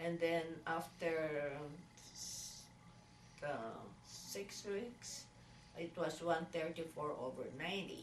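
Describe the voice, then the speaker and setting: A woman speaks at a very slow pace with a fairly low pitch and long, frequent pauses. Audible room echo surrounds her voice. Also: ordinary pitch variation. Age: 60s. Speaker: patient. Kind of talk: patient interview. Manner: halting, many fillers.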